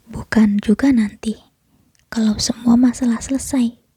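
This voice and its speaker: A woman's fairly high, somewhat breathy voice with a soothing tone at a fairly slow pace. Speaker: ASMR creator playing a comforting mother figure. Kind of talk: ASMR comfort roleplay. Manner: soft, whispered, soothing.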